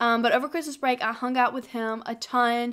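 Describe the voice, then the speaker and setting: Recorded very cleanly against a silent background, a woman with a Southern US accent speaks in a high voice with fairly even intonation. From South Carolina. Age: 20s. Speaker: college student. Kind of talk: casual chit-chat vlog to camera.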